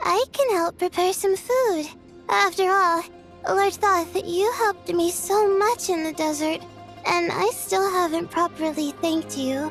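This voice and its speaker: Clear music plays behind a cartoonish character voice that sounds female, extremely high-pitched, and delivered at a fairly slow pace. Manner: soft, friendly, unpretentious.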